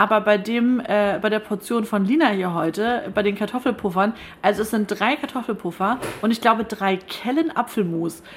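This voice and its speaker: A woman speaks at a moderate pace in a fairly high voice, with ordinary pitch variation. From northern Germany, Schleswig-Holstein (Stormarn). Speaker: radio podcast host. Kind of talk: casual interview over lunch. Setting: broadcaster's canteen.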